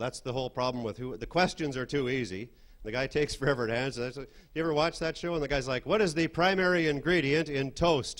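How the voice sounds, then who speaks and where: This man has a normal speaking voice pitched fairly high. He talks at a fairly quick pace with ordinary pitch variation. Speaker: stand-up comedian. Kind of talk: stand-up comedy set.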